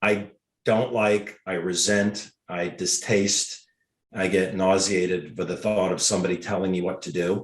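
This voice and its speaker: Very deep and low, a man's voice carries a Mid-Atlantic American accent and a monotone, flat intonation. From Washington, D.C. area. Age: 60s. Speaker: podiatrist and network marketer. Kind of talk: interview.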